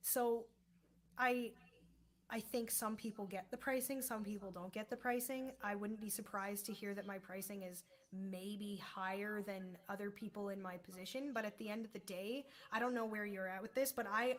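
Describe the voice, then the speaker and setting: With noticeable background noise, a woman speaks with fairly even intonation. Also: medium pitch for a woman, moderate pace. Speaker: singer, podcast host. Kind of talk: casual interview conversation.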